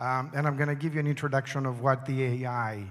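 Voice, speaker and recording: A man speaks with a non-native accent on a very clean recording with a silent background. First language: not English. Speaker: conference speaker. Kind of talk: conference presentation.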